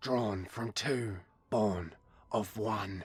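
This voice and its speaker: A man puts on a character voice at a fairly low pitch. His intonation stays fairly even. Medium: read story.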